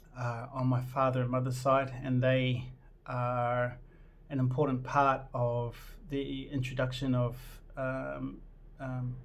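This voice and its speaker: Very slow and broken by long, frequent pauses, a man's medium-pitched voice stays monotone and flat, with audible room echo. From New Zealand. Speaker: vlogger. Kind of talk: casual personal vlog intro. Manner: hesitant, many fillers.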